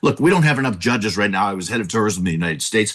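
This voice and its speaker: A man's fairly low voice with an American accent, lively intonation and an animated tone. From Southern California. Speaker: political candidate. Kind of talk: political debate. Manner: animated, interrupting.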